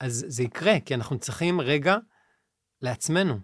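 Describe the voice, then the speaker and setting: Very clean and silent in the background, the recording has a dry, close sound with no echo as a man talks at a fairly slow pace. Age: 40s. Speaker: musician and life coach. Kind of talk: interview conversation. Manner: halting.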